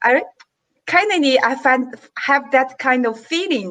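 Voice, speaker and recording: A woman with a Chinese accent uses a raised, projected voice, high in pitch with a bright, sharp tone. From China. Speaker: tourism business executive. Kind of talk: panel discussion. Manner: halting. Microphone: microphone problem.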